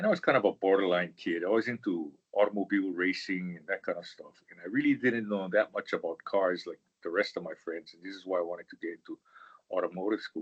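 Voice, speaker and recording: Talking at a very fast pace with an Hawaiian accent, a man swings widely in loudness, the sound dry and close with no echo. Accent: Hawaii local English. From Hawaii, Honolulu (Manoa Valley). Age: 70s. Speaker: engineer, professional society leader. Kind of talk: interview. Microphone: bad connection, old office computer.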